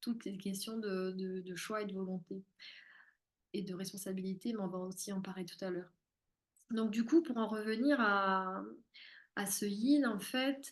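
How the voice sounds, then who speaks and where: A woman talks at a fairly slow pace with long, frequent pauses. Her pitch is medium with ordinary variation. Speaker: spiritual therapist and medium. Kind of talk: live-streamed masterclass. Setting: live stream.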